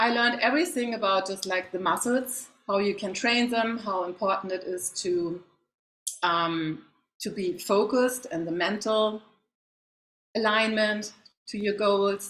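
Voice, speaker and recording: A woman with a German accent at a medium pitch, ordinary pitch variation, a fairly slow pace and long, frequent pauses. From Germany. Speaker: facial wellness coach, former athlete. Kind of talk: interview. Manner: halting.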